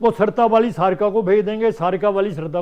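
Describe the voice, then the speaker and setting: A man speaks with a Punjabi accent. His pitch is high, with ordinary pitch variation. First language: Punjabi (speaking Hindi). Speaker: writer and translator. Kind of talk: interview.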